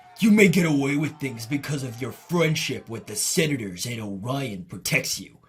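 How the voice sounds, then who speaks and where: Music plays in the background behind a put-on character voice. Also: man, medium pitch for a man, moderate pace. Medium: dub.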